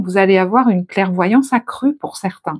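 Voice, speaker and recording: On a very clean recording with a silent background, a soft-spoken woman talks at a moderate pace with ordinary pitch variation. Her tone is calm. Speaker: tarot reader. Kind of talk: tarot reading. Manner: soft, calm; shifts from soft to firm.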